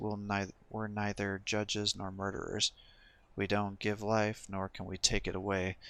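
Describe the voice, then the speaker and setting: A man puts on a character voice, fairly low and strained. He keeps a monotone, flat intonation at a moderate pace. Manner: tense, forced.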